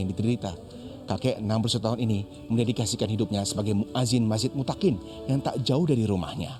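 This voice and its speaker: With music in the background, the speech moves at a very fast pace with ordinary pitch variation. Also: man. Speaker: field reporter. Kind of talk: TV news report narration.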